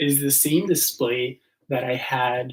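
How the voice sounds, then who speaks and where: A man speaks very slowly in a flat, monotone delivery. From Argentina. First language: Spanish. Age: 20s. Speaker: speedcuber streamer. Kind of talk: casual live stream chat.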